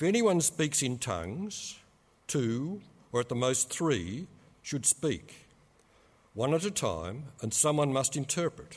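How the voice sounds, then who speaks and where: Very slow and full of long, frequent pauses, a man's fairly high pitch makes very wide swings on a very clean recording with a silent background. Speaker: scripture reader. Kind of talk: reading aloud. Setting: church.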